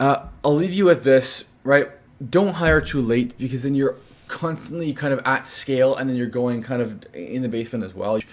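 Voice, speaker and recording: With ordinary pitch variation, a man's medium-pitched voice is heard. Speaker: entrepreneur and business coach. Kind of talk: business advice talk to camera. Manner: fast; casual with many fillers.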